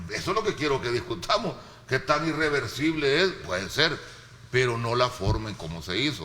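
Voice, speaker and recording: A man's animated voice with very wide pitch swings against noticeable background noise. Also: medium pitch for a man, moderate pace. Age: 60s. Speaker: political commentator. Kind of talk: panel debate.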